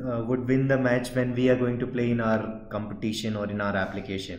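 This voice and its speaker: With audible room echo and noticeable background noise, a man at a medium pitch talks at a fairly quick pace with fairly even intonation. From India. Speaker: software trainer. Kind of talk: tutorial. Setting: outdoors at a stadium.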